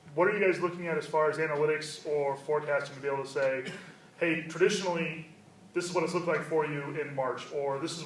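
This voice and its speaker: Fairly high-pitched, a man speaks very fast with fairly even intonation. Noticeable background noise and audible room echo are present. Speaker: audience member. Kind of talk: audience question. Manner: loud. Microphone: no microphone, speaking from audience.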